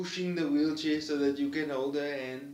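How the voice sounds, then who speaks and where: In a Cape Town accent, a man speaks with flat, monotone intonation. His pitch is fairly high and his pace moderate. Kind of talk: personal vlog monologue.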